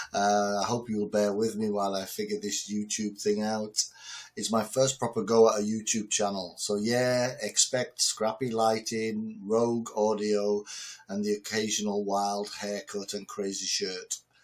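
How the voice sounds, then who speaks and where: A man with a northern English accent speaks fairly slowly at a fairly low pitch, monotone and flat. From northern England. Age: 60s. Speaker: entrepreneur and business lecturer. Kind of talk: direct-to-camera talk. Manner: loud; casual with fillers.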